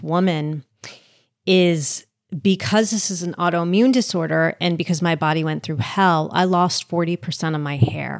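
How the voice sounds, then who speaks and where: In a normal speaking voice with an American accent, the speaker talks at a fairly slow pace with ordinary pitch variation on a very clean recording with a silent background. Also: woman. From US Northeast, suburban New Jersey. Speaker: author and podcaster. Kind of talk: casual interview.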